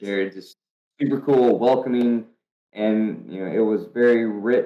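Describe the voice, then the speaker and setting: The speaker has a North Carolina accent. The intonation is fairly even. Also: man, medium pitch for a man. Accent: Southern US, North Carolina. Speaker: professional drifter. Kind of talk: podcast interview answer. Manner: casual, storytelling.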